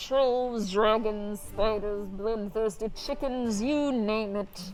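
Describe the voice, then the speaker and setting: A female-sounding voice uses a put-on character voice at a fairly high pitch and a very slow pace. Background noise is clearly present. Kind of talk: medieval-fantasy play voice. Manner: bold, heroic.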